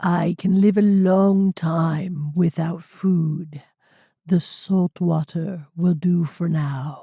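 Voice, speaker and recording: A woman's put-on character voice, fairly low in pitch, raspy and croaky, at a very slow pace. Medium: read story. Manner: slow, forced human speech.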